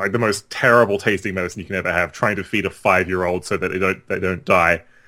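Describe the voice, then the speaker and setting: Here a man with an Australian accent has a very deep, low pitch and a bright, sharp tone. His intonation is fairly even, and the recording is very clean with a silent background. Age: 30s. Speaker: game developer. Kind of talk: casual chat.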